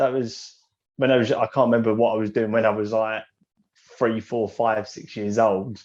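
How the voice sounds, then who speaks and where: With an English accent, a man speaks at a moderate pace. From England. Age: 20s. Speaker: young entrepreneur. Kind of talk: podcast interview.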